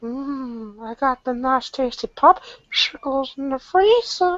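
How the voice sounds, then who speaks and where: A high-pitched, put-on character voice at a fairly slow pace. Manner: put-on impression.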